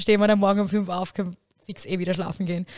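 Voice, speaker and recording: A woman's flat, monotone voice at medium pitch, in a very clean recording with a silent background. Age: 20s. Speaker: student teacher. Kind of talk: casual chat.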